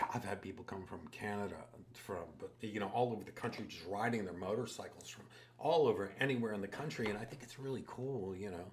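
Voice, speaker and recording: A man's somewhat breathy, fairly low voice at a fairly quick pace, with ordinary pitch variation, big swings in loudness and audible room echo. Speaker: tattoo artist. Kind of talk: casual chat.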